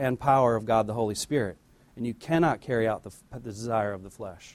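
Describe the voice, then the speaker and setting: A man with a normal speaking voice talks at a medium pitch and a moderate pace with fairly even intonation. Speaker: church deacon giving offering message. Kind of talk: offering message, light humor.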